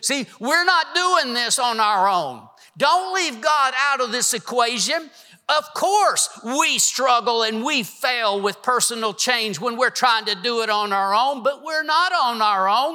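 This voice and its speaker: Music plays in the background as a man speaks in a raised, projected voice at an extremely high pitch. His intonation is lively and his pace fairly slow. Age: 60s. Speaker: preacher. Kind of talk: sermon. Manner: animated.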